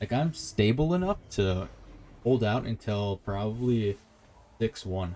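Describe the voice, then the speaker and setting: With music in the background, this man's voice sits at a fairly low pitch. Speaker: gaming streamer. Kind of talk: gameplay commentary. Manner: calm.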